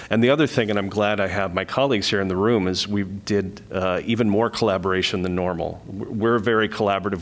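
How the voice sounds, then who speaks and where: A man at a very deep, low pitch, very fast in pace, with fairly even intonation. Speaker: literary nonprofit director. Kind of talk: public meeting presentation. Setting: meeting room.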